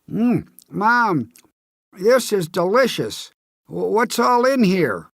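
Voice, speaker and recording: The voice sits at a fairly high pitch. Its pace is very slow. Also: very clean recording, silent background. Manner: speaking with mouth full, chewing.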